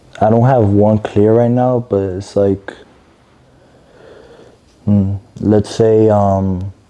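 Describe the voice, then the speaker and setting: A man speaks very slowly in a dark, mellow, fairly low voice with flat, monotone intonation. Long, frequent pauses break it up, and his loudness stays very even. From Medellín, Colombia. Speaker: singer and artist. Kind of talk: interview answer.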